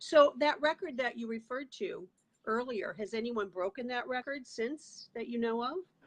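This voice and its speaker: High pitch from a woman, varying in an ordinary way. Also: moderate pace. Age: 60s. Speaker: talk show host. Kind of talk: interview.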